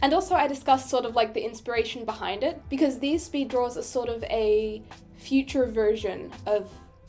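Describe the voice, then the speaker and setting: With music in the background, a woman with an Australian accent speaks fairly quickly at a high pitch with lively intonation. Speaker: digital artist, YouTuber. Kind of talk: casual voiceover commentary. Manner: chatty, self-deprecating rambling.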